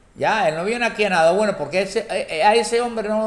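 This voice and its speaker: A man's high voice at a fairly quick pace. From Cuba. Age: 70s. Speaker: political commentator. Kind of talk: political monologue. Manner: halting, many repetitions; impassioned.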